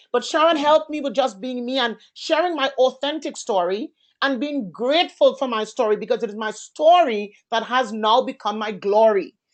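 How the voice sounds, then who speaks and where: Loud and animated in tone, a woman speaks at a moderate pace in a high pitch with lively intonation against a quiet background. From Caribbean. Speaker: entrepreneur and event host. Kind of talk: online master class panel. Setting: conference call.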